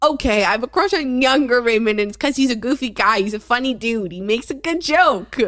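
A woman speaks loudly at a fairly quick pace, her pitch high, with hardly any pauses. Her intonation is lively and her tone animated. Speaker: podcast co-host, daughter of the other host. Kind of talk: casual chat.

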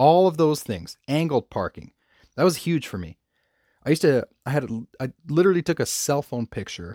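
On a very clean recording with a silent background and a dry, close sound with no echo, a man with a normal speaking voice talks at a moderate pace with lively intonation. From Canada. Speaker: podcast host, parking lot striping business owner. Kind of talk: casual solo podcast talk.

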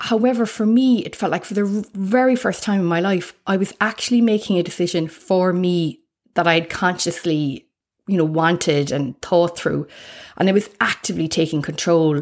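A woman with an Irish accent, fairly low in pitch, with ordinary pitch variation, at a moderate pace, on a very clean recording with a silent background. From Ireland. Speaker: life coach and podcaster. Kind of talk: solo podcast monologue, personal intro. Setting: home recording. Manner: warm, upbeat, conversational.

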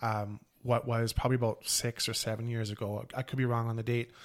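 In a very clean recording with a silent background, a man talks at a fairly quick pace in a plain, everyday voice. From Canada. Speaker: podcast co-host. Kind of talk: casual chat.

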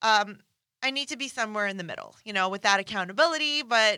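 Bright and sharp in tone, a woman sounds upbeat and animated on a very clean recording with a silent background. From Iran, then Canada. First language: Farsi. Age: 30s. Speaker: nutrition and fitness coach, podcast host. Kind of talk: casual monologue, podcast intro. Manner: upbeat, animated, humorous.

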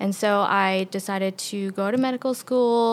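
A woman with a New York accent keeps her intonation fairly even. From New York City, Queens. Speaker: medical resident. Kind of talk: interview.

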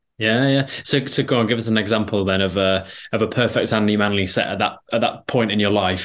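The delivery is very fast. Intonation stays fairly even throughout. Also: man. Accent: East Midlands. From Derbyshire, England. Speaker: podcast host. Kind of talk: podcast interview.

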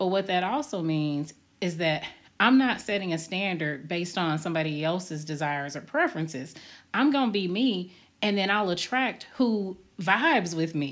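A woman's unremarkable speaking voice at a moderate pace, with lively intonation. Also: fairly low pitch for a woman. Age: 40s. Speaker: podcast host. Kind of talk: casual chat.

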